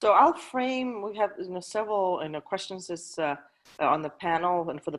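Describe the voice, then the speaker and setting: Against a quiet background, a woman with a slight Danish accent talks at a fairly quick pace with lively intonation. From Denmark. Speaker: panel moderator. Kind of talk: panel discussion. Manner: hesitant, many fillers.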